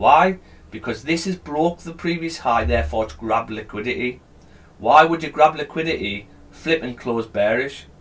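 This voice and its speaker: Lively intonation marks this man's speech with a British accent. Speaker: live trading streamer. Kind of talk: live trading stream, explaining to chat. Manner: mumbling.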